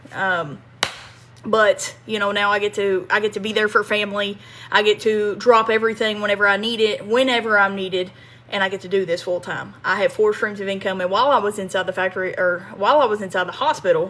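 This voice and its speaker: A woman with a Kentucky accent speaks in a bright, sharp tone. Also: medium pitch for a woman, fairly quick pace. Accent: Southern US (Kentucky). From US South, small-town Kentucky. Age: 30s. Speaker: online marketing coach, ex-factory worker. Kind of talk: livestream monologue. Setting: live stream. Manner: animated, repetitive.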